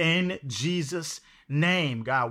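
Here a man speaks at a high pitch in a bright, sharp tone with ordinary pitch variation. The recording is very clean, its background silent. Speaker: prayer night co-host. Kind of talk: fervent group prayer. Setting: live video stream. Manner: emphatic, affirming, call-and-response.

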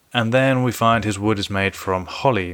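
A man's fairly low voice at a moderate pace with ordinary pitch variation, on a very clean recording with a silent background. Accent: London. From London. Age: 30s. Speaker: podcast host. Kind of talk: casual solo podcast commentary.

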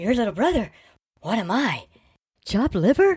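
A put-on character voice sits at a fairly high pitch with very wide swings. The pace is moderate. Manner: echoing, eager.

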